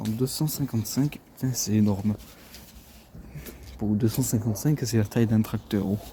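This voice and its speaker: Soft-spoken and of medium pitch, a man talks at a moderate pace with fairly even intonation over noticeable background noise. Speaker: car detailer and video creator. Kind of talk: casual vlog narration while working. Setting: outdoors at a body shop.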